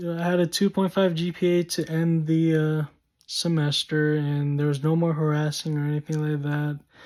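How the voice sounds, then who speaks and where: An unremarkable speaking voice at a moderate pace. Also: man. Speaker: vlogger. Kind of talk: personal storytelling vlog.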